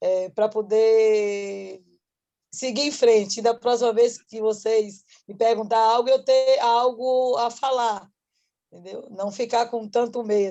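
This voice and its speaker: A woman's fairly high-pitched voice with a Bahian accent, dark, mellow in tone, at a very slow pace. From Salvador, Bahia, Brazil. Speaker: workshop participant, entrepreneur. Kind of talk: casual thank-you remarks.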